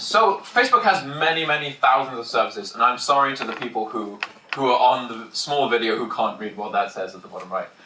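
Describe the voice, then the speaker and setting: A man speaks at a fairly quick pace, his loudness swinging widely. Audible room echo and noticeable background noise fill the recording. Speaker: security engineer giving conference talk. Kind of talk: technical conference talk. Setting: packed conference room with audience. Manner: fast, hurried.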